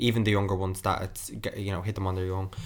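A man speaks with an Irish accent at a fairly low pitch. The recording is very clean, with a silent background. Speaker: podcast host. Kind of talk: casual chat.

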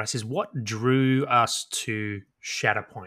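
On a very clean recording with a silent background, a man with an Australian accent speaks at medium pitch with a bright, sharp tone and ordinary pitch variation. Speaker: podcast co-host, tabletop gamer. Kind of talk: casual chat.

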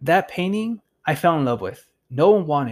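An animated male voice on a very clean recording with a silent background. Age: 30s. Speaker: podcaster. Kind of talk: casual monologue.

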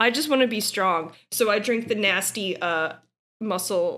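A woman talks at a fairly slow pace with an American accent. Her pitch varies in an ordinary way. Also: very clean recording, silent background. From New Orleans, US South. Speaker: guest co-commentator. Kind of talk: casual comedic chat and reading aloud.

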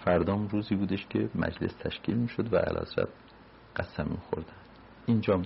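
A man talks at a fairly quick pace but with long, frequent pauses. His voice is fairly low and somewhat breathy, with fairly even intonation. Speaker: retired diplomat. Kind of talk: oral history interview.

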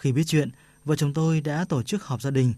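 A man's somewhat breathy voice, fairly high in pitch, dark and mellow in tone, with ordinary pitch variation over a quiet background

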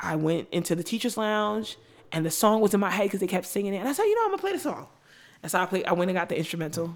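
A woman speaks very fast with a New York accent, her pitch medium with ordinary variation. Noticeable background noise runs underneath. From New York (Brooklyn and Long Island), Caribbean family. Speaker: teacher and school founder. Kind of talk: interview conversation.

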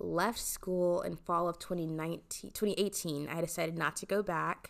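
An ordinary speaking voice from a woman, fairly low in pitch with ordinary pitch variation, at a moderate pace in a very clean recording with a silent background. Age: 20s. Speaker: podcast host, actress and dancer. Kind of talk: casual solo podcast monologue.

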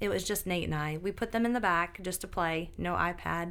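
Speaking at a moderate pace with ordinary pitch variation, this is an unremarkable speaking voice with an American accent. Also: woman. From upstate New York. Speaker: nurse practitioner and mother. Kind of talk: casual interview chat.

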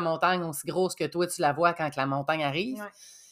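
The recording is very clean and the background silent. An ordinary speaking voice talks fairly quickly, its intonation fairly even. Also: woman. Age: 30s. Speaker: dispatch assistant. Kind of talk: casual interview.

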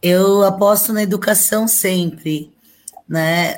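A woman talks very slowly in a medium pitch, using ordinary pitch variation. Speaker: labor law scholar. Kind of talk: panel discussion.

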